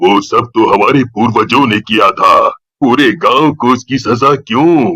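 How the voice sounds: Quiet background behind a natural reading voice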